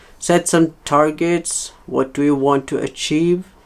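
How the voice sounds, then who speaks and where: Speaking very slowly with a non-native accent, a man uses a fairly high pitch and fairly even intonation. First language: not English. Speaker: leathercraft hobbyist teacher. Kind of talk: tutorial. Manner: halting, many fillers.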